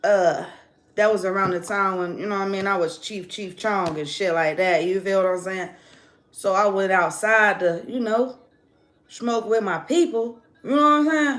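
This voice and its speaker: A woman speaks in an animated tone with lively intonation at a medium pitch. Her moderate pace carries audible room echo. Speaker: tarot reader. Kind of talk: casual monologue storytelling.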